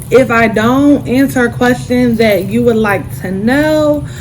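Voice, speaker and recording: Over noticeable background noise and audible room echo, a woman speaks at a medium pitch. Her pace is very slow, with very wide pitch swings. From US South, Durham, North Carolina. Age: 20s. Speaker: YouTuber. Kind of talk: casual Q&A vlog.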